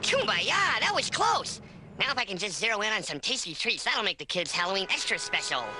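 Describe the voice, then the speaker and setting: Someone in a cartoonish character voice talks at a fairly quick pace over clear background noise. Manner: chirpy, cheerful.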